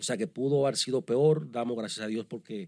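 Over a silent background in a very clean recording, a man speaks in a plain, everyday voice at a medium pitch with ordinary pitch variation. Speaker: podcast co-host. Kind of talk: news commentary chat.

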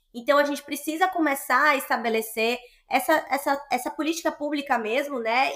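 High pitch and ordinary pitch variation in a woman's voice. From Bahia, Brazil (Salvador). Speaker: social entrepreneur, startup partner. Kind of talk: interview conversation.

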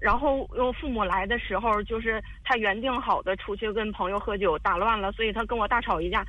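A woman's fairly high voice at a fairly quick pace, with hardly any pauses and noticeable background noise. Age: 30s. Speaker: caller seeking advice on marriage. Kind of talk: personal story on call-in advice show. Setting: phone call. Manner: halting, many fillers and repetitions.

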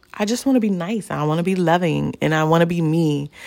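A woman talks at a moderate speed. The recording is very clean and the background silent. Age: 40s. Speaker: podcast host. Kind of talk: solo monologue. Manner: casual with frequent fillers.

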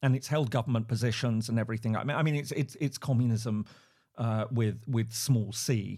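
A man with an English accent talks at a fairly quick pace and a medium pitch. His tone is dark and mellow, somewhat breathy, with fairly even intonation. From England. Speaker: professor, conflict researcher. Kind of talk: interview. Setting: video call. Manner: halting, many repeated words.

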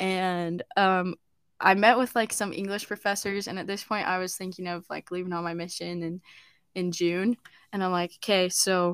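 A woman at medium pitch and moderate pace, monotone and flat, in a very clean recording with a silent background and a dry, close sound with no echo. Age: young. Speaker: podcast host and university student. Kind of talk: casual chat.

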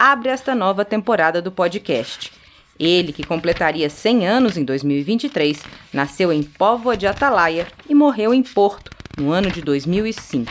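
Very wide pitch swings mark this woman's medium-pitched voice. She speaks at a fairly slow pace. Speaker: podcast host and poetry reader. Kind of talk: poetry reading, slow and meditative, after a scripted narrated introduction. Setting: studio. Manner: slow, soft, measured and contemplative, with pauses at line ends; warm, tender, gently expressive delivery.

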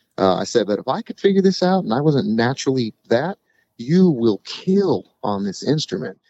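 A man talks at a moderate pace in a medium pitch. His pitch swings very widely. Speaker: singer-songwriter. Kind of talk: casual interview chat.

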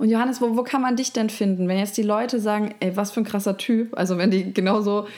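At a fairly quick pace and with fairly even intonation, this is an unremarkable speaking voice. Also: woman. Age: 30s. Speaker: podcast host. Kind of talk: interview.

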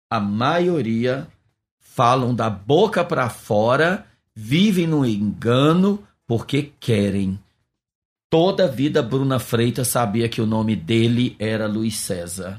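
Long, frequent pauses break up a man's very slow, medium-pitched speech with lively intonation, on a very clean recording with a silent background. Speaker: pastor and missionary. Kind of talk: interview testimony.

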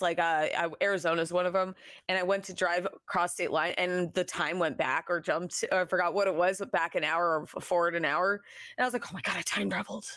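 A woman speaks in a normal speaking voice. Her pitch is medium, with fairly even intonation. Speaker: podcast co-host and streamer. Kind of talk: casual chat.

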